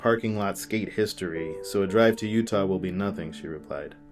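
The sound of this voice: An unforced reading voice with pitch that varies in an ordinary way.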